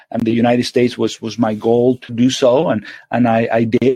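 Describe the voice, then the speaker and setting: Speaking at a fairly quick pace with a Spanish accent, a man at medium pitch sounds dry and close with no echo. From Venezuela. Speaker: surgeon. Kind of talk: interview. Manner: halting, many repetitions.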